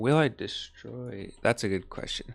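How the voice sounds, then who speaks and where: On a very clean recording with a silent background, a man speaks. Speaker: gaming streamer. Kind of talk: live gaming stream chat. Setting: live stream.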